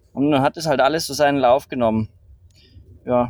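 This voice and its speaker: Fairly even intonation from a man with a fairly high pitch, dry, close sound with no echo. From Bavaria, Rosenheim area. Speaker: entrepreneur and climber. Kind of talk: casual interview. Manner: hesitant, many fillers.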